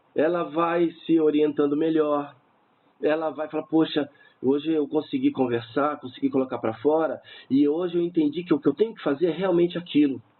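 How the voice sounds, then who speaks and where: An unremarkable speaking voice, this man's is fairly high in pitch, with fairly even intonation and a moderate pace. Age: 50s. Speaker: suicide-prevention helpline volunteer. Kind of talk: radio interview.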